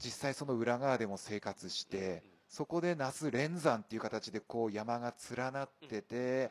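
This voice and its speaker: At a fairly slow pace, a man speaks in an unremarkable speaking voice of medium pitch with ordinary pitch variation. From Fukushima, Japan (Nishigo village). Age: 40s. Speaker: trail running athlete. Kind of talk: casual chat.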